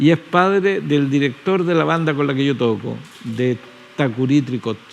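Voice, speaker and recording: A man with a Chilean accent, fairly high-pitched, at a moderate pace with ordinary pitch variation, over noticeable background noise. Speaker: poet and musician. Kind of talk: interview conversation.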